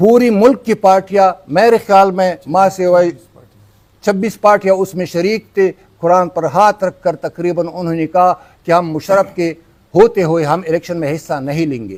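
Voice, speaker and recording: Here a man speaks in a high pitch that varies in an ordinary way. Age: 60s. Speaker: party politician. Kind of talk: press conference statement. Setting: press club conference. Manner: halting, with self-corrections.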